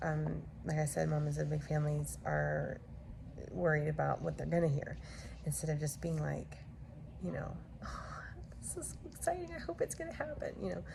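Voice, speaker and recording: A quiet woman at a moderate pace, with long, frequent pauses, audible room echo and noticeable background noise. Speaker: vlogger, mother of a large family. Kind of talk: casual vlog. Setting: at home. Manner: quiet, hushed; hesitant, many fillers.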